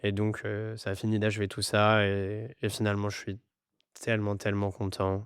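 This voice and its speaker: This man speaks at a moderate pace with an English accent and a fairly low pitch. His intonation is monotone and flat, over a quiet background. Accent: English-tinged French. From France, Grenoble and Madagascar. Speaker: startup CEO. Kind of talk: podcast interview. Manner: hesitant, many fillers.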